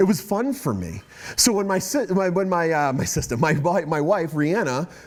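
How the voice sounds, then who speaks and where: With a Boston accent, a man speaks at a high pitch in an animated tone with lively intonation. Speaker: guest speaker. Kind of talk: testimony. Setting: talk to students.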